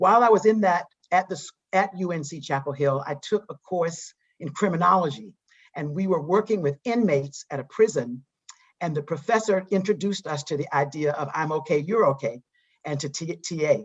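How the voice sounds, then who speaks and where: A woman with a Southern US accent speaks at a fairly quick pace in a fairly low, somewhat breathy voice with lively intonation. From US South, eastern North Carolina. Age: 60s. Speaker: psychologist and diversity trainer. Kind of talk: interview. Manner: halting.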